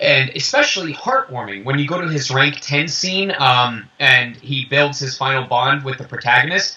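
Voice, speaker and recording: Noticeable background noise runs under the recording. A man speaks in a fairly high voice with ordinary pitch variation. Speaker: voice actor. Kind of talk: interview. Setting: video call. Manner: animated.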